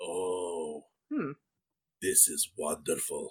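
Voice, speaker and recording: A man's raspy, put-on character voice. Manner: creepy, gleeful.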